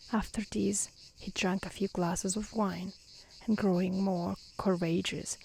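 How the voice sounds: Fairly even intonation marks a natural reading voice.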